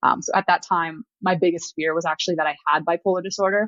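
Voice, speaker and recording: Speaking at a fairly quick pace, a woman uses a fairly low pitch. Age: 20s. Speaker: podcast guest sharing mental health story. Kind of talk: interview testimony. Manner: fast.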